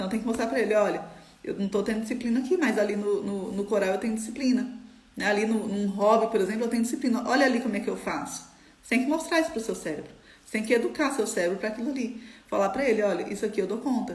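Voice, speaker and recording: At a very fast pace, a woman talks with a fairly high pitch and ordinary pitch variation, with audible room echo and noticeable background noise. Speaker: trading mindset coach. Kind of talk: live stream talk. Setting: live stream.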